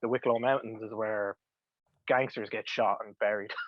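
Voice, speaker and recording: A medium-pitched male voice with an Irish accent, monotone, flat intonation and a moderate pace. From Ireland, County Louth. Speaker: comic book writer. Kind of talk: casual interview chat.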